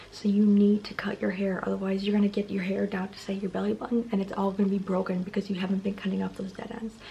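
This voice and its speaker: Over noticeable background noise, a woman talks at a very fast pace. Her medium-pitched voice has monotone, flat intonation. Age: 20s. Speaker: beauty vlogger. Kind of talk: tutorial. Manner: casual, filler-heavy.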